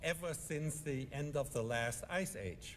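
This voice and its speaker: A man with a fairly high pitch and lively intonation at a fairly slow pace, with audible room echo. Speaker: economist panelist. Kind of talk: conference speech.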